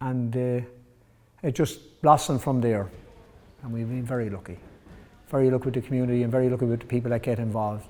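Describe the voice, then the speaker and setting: Speaking very fast with an Irish accent, this man has a dark, mellow tone and a medium pitch. Long, frequent pauses interrupt his fairly even intonation. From Ireland, County Wexford (Enniscorthy). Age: 60s. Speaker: boxing coach. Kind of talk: interview testimony.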